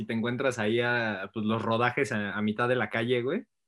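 This man's pitch sits in the medium range. He keeps up a fairly quick pace. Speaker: podcast co-host. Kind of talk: casual chat.

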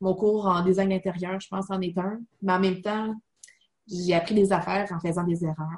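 Speaking with a Quebec accent, a woman talks at a fairly slow pace in a medium pitch, her intonation fairly even and her voice somewhat breathy. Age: 30s. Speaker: online college student. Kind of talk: interview.

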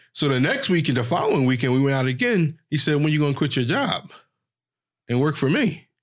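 Very clean recording with a silent background of a man in a Philadelphia accent, fairly high in pitch, fairly quick, with very even loudness and ordinary pitch variation. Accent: Philadelphia urban American English. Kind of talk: casual interview chat.

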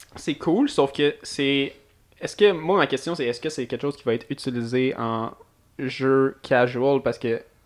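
In a Quebec accent, a man speaks at a fairly slow pace with a fairly high pitch and ordinary pitch variation, on a very clean recording with a silent background. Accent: Québécois French. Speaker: podcast host. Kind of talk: casual chat.

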